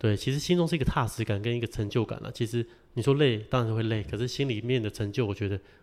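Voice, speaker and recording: The speech comes very fast with ordinary pitch variation, on a very clean recording over a silent background. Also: man. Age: 30s. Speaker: packaging business owner. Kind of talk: interview.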